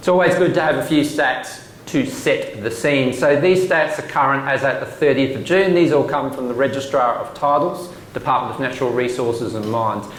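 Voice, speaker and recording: Recorded with noticeable background noise and audible room echo, a man with an Australian accent talks at a fairly quick pace in a fairly high pitch. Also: ordinary pitch variation. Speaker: government commissioner. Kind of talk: presentation. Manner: fast.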